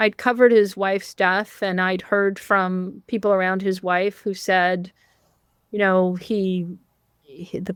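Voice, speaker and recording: A woman talks fairly slowly in an unremarkable speaking voice at a medium pitch. The recording is very clean with a silent background, dry and close with no echo. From Canada. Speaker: journalist and author. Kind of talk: interview.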